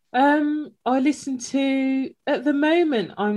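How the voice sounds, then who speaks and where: A woman with a Birmingham accent speaks in a dark, mellow tone. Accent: Birmingham (Brummie) English. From Birmingham, England. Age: 30s. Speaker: podcast host, brand consultant. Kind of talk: casual interview chat.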